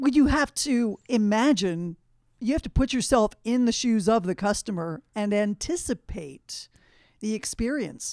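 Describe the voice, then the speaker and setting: A woman's fairly high, lively voice, a normal speaking voice, in a very clean recording with a silent background and a dry, close sound with no echo. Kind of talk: radio co-host chatter, short quips and agreeable replies.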